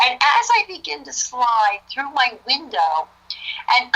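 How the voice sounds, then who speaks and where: A woman with a New Jersey accent projects a raised, high-pitched voice at a fairly slow pace over noticeable background noise. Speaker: author. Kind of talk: testimony. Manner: animated.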